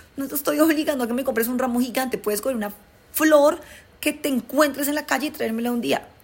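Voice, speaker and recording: Noticeable background noise sits under speech at a very fast pace with ordinary pitch variation. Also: woman. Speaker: podcast host. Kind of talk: casual monologue. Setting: recording away from studio. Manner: blunt.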